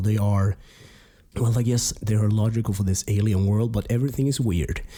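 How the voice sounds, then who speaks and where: Over a silent background in a very clean recording, a man speaks with a somewhat breathy, dark, mellow tone at a fairly low pitch and ordinary pitch variation. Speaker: game review podcaster. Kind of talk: casual podcast talk.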